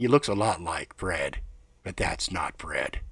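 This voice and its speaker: A man's gruff, raspy put-on character voice at a moderate pace, on a very clean recording with a silent background. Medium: read story. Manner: gruff, wry, observant.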